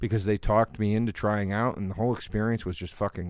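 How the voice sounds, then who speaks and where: The recording is very clean, with a silent background. A man with an American accent talks at a fairly low pitch with fairly even intonation. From US East Coast. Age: 40s. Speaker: comedian. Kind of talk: casual chat. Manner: mumbling.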